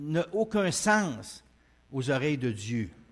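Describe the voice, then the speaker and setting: Against a quiet background, the speaker moves at a very slow pace. The intonation is lively. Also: man. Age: 60s. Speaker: preacher. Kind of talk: sermon. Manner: hesitant, many fillers.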